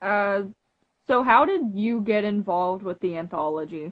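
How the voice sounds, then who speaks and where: A woman's very slow speech with lively intonation. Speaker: interviewer. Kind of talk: interview. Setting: live video stream. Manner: loud.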